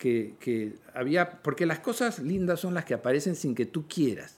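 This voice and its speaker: The speaker is a man. His intonation is lively. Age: 60s. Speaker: visual artist and writer. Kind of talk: interview conversation. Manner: halting.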